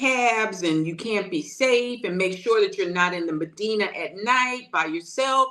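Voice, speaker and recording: A woman with lively intonation at a fairly slow pace, over noticeable background noise. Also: hardly any pauses. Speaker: house sitter and accountability coach. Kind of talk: interview answer. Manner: casual, conversational.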